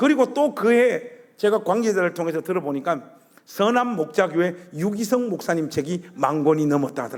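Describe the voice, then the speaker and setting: A man in a Gyeongsang accent speaks at a moderate pace with an animated tone and very wide pitch swings. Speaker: guest preacher. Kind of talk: sermon. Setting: church.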